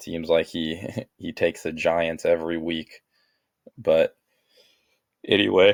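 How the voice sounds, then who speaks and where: In a raspy, put-on character voice with a very deep, low pitch, a man speaks at a moderate pace with big swings in loudness and long, frequent pauses. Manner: sleepy, tired.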